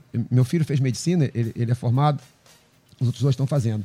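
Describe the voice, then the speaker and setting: Somewhat breathy, a man talks at a very fast pace with a dark, mellow tone. The sound is dry and close, with no echo. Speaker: pastor. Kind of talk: panel discussion on faith. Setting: radio studio with cameras.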